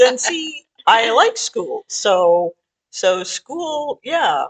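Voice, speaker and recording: Speaking at a very slow pace with very wide pitch swings, a woman comes through in a dry, close sound with no echo. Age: 60s. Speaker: podcast co-host. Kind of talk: casual chat.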